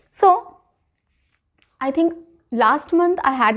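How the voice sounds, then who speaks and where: Lively intonation runs through this woman's speech. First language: not English (learned it at school). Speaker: English teacher. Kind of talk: online tutorial. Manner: conversational, uses many fillers.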